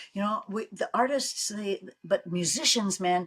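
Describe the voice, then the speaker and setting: At a moderate pace, a woman speaks at medium pitch in a bright, sharp, animated tone with lively intonation. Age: 80s+. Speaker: podcast co-host. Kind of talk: casual chat.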